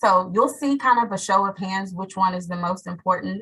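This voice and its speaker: With a bright, sharp tone, a woman speaks at a medium pitch in fairly even intonation. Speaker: teacher. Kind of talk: webinar panel talk. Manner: fast.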